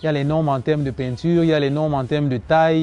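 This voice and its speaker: A man talks at a fairly quick pace in a fairly high voice. Noticeable background noise is present. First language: Cameroonian local language (speaking French). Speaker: woodcraft entrepreneur. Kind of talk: TV interview.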